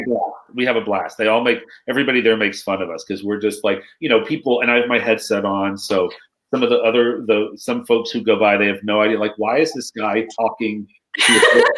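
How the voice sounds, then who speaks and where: Here a man uses a normal speaking voice, pitched medium. He talks fairly quickly, with fairly even intonation. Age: 50s. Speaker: storytelling consultant and author. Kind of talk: interview answer.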